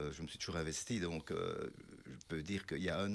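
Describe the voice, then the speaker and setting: Very fast speech comes from a man with a very deep, low pitch and ordinary pitch variation. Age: 60s. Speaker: mayor. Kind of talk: interview. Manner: halting.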